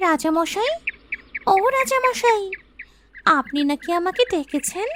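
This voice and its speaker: A cartoonish character voice, female-sounding, reaches an extremely high pitch for a woman. The pace is fairly slow. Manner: gentle, earnest.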